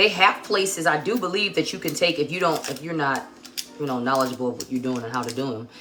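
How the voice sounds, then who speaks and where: The speaker's intonation is lively, with noticeable background noise behind the voice. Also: woman. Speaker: cooking livestream host. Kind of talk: live cooking demonstration. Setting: home kitchen livestream. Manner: loud; casual, chatty.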